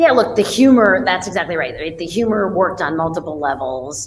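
Light background noise behind a woman with an American accent and lively intonation. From New York City, Manhattan; New York City. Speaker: fintech CEO; guest. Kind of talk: interview conversation. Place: home room. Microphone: webcam.

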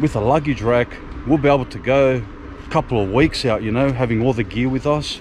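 A man talks at a fairly quick pace with fairly even intonation. The sound is dry with no echo, over light background noise. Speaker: motorcycle vlogger. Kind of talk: casual vlog chat. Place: street. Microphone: phone near.

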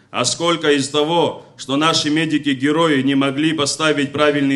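At a fairly slow pace, a man speaks with fairly high pitch and fairly even intonation. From Abkhazia. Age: young. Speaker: veteran congress speaker; speaker. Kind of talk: public speech. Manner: formal. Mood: critical, accusatory. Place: hall. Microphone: podium.

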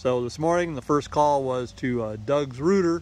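The sound is dry, with no echo. The delivery moves at a moderate pace with fairly even intonation. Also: man. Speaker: homeowner vlogger. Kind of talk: casual vlog chat. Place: garden. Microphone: phone near.

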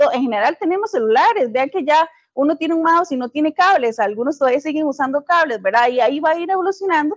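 Talking at a very fast pace with hardly any pauses, a woman speaks in a high pitch. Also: lively intonation. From Costa Rica, southern zone. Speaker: physicist and science educator. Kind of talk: webinar presentation. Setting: live online webinar.

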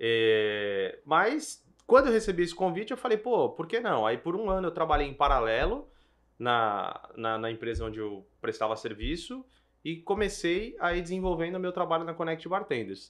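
This man has a high pitch and very wide pitch swings. His pace is moderate. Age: 30s. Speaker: event bartending business owner. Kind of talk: casual business podcast chat.

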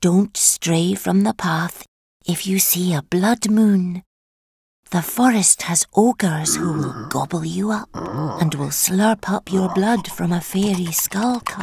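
Using a put-on character voice, a woman speaks at a medium pitch. Her pace is fairly slow. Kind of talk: dark children's story acting. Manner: falsely sweet, scheming, coaxing.

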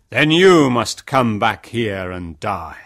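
A man performs a put-on character voice at medium pitch. He goes at a very slow pace on a very clean recording with a silent background. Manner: angry, stern.

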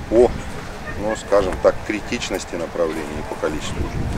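Noticeable background noise surrounds a man speaking at a moderate pace in a dry sound with no echo. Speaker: water utility manager. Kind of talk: on-site interview. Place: open country.

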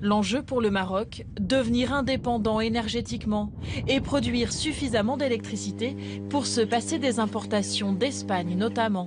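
A woman speaks at a fairly slow pace and very even loudness over noticeable background noise. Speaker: news presenter and reporter voice-over. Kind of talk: documentary news report narration. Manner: formal, measured, steady reporting tone.

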